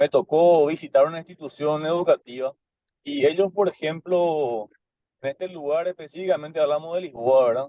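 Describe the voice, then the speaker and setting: A fairly high-pitched male voice with a dark, mellow tone, ordinary pitch variation and a fairly slow pace, in a dry, close sound with no echo. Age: 30s. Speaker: student teacher in an online class. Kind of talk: class discussion question. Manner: halting, many fillers and repetitions.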